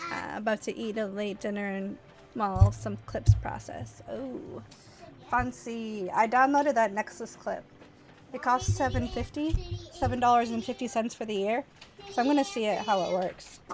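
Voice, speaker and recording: With music in the background, a woman with an American accent talks at a moderate pace, her loudness swinging widely. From United States. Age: 30s. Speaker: streamer. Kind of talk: casual chat.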